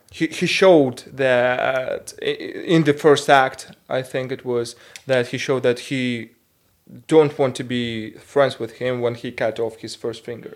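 A man with a Russian accent speaks at a fairly slow pace, his pitch medium for a man. His loudness swings widely while his intonation stays fairly even. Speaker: podcast co-host. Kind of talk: casual chat. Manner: halting.

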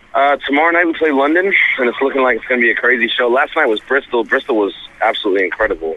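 A man talks at a very fast pace with lively intonation and a medium pitch, over noticeable background noise. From US, Rhode Island. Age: 30s. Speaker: rapper. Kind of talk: interview. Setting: phone call.

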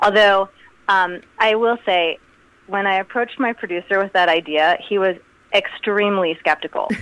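In a plain, everyday voice, a woman speaks at a moderate pace and medium pitch, with ordinary pitch variation and very even loudness. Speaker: musician. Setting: phone call.

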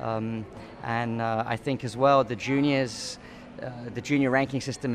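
A man talks at a medium pitch with fairly even intonation against noticeable background noise. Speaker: tennis coach. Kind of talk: casual interview. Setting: hotel.

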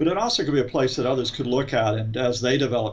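Using a plain, everyday voice, a man with an American accent speaks at a medium pitch with fairly even intonation and a fairly quick pace. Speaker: professor. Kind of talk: expert interview.

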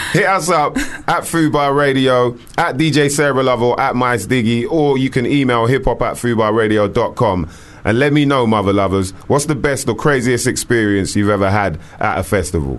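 This man speaks at a moderate pace and a medium pitch, with lively intonation, very even loudness, and noticeable background noise behind him. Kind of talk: casual chat. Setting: studio.

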